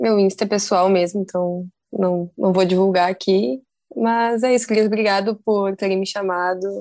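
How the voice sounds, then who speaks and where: A woman speaks at a medium pitch and a moderate pace. Her tone is dark and mellow, with ordinary pitch variation. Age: 20s. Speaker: skateboarder and design student. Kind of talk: casual chat.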